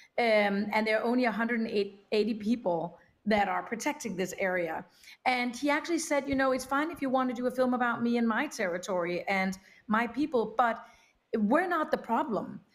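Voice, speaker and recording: A woman speaks with a Danish accent. Her pitch is fairly high and her pace moderate. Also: lively intonation. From Denmark. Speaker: documentary film producer; panelist. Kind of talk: panel discussion. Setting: remote video link. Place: home room.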